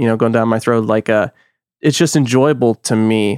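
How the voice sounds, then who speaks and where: A man with a normal speaking voice and an American accent speaks at a fairly quick pace with ordinary pitch variation, dry and close with no echo on a very clean recording with a silent background. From US Texas. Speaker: podcaster. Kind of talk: casual chat.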